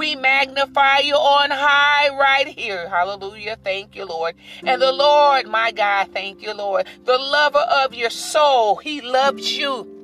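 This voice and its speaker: Against noticeable background noise, a woman with a warm tone uses a raised, projected voice at high pitch, with lively intonation, a fairly slow pace, and hardly any pauses. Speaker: minister and podcast host. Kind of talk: sermon; fervent prayer. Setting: solo podcast recording. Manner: fervent, exhortative, repeating praise phrases; warm, encouraging.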